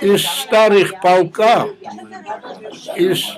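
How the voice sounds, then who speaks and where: A man talks at a very slow pace. Background noise is noticeable throughout. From Georgia. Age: 80s+. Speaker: war veteran. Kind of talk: interview answer.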